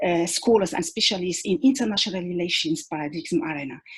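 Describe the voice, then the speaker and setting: Very wide pitch swings in a somewhat breathy voice. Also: woman. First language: not English (English is third language). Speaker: academic researcher, conference panelist. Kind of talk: academic conference presentation. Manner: halting, many fillers and repetitions; formal.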